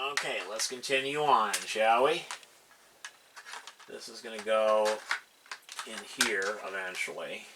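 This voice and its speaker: A man at medium pitch talks at a fairly slow pace with long, frequent pauses, ordinary pitch variation and big swings in loudness. Audible room echo and noticeable background noise surround him. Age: 60s. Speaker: hobbyist video maker. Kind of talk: tutorial. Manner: casual, halting with fillers.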